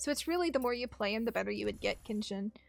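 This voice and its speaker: A woman speaks in an animated tone with a fairly high pitch. The recording is very clean, with a silent background. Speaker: gaming streamer. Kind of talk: livestream chat while gaming.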